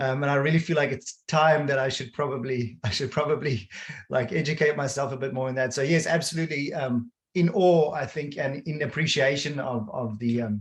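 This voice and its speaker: Fairly high and somewhat breathy, a man's voice moves at a fairly quick pace. Its pitch varies in an ordinary way. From South Africa, Cape Town. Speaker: design leader. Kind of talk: webinar conversation.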